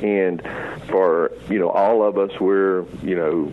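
A man's voice over noticeable background noise. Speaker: Social Security office district manager. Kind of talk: radio interview answering listener questions. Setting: radio show by phone from remote location.

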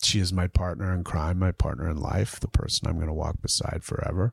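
In a very clean recording with a silent background and a dry, close sound with no echo, a man speaks at a moderate pace. His very deep, low voice is somewhat breathy and playful in tone. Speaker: podcast host. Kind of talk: casual banter between co-hosts. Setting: studio at home, den. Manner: joking, playful.

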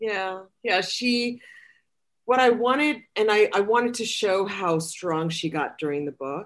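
A woman with an unremarkable speaking voice talks at a fairly slow pace and medium pitch, her intonation lively over a quiet background. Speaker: author. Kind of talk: casual chat.

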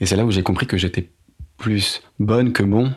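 A man's moderately paced speech, its intonation fairly even. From Paris. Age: 30s. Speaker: podcast guest sharing career change story. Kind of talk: personal testimony. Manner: hesitant, frequent fillers.

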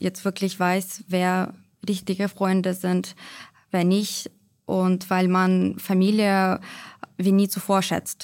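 On a very clean recording with a silent background, a woman speaks at medium pitch with very even loudness. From Ukraine, Kyiv. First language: Ukrainian or Russian (speaking German). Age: 20s. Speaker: pharmacist in training. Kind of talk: interview, personal account.

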